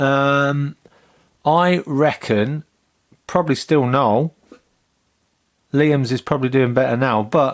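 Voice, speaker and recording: A man with a fairly high pitch speaks at a very slow pace with very even loudness, ordinary pitch variation and long, frequent pauses. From England, Northampton. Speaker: comedian and podcast host. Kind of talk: casual chat.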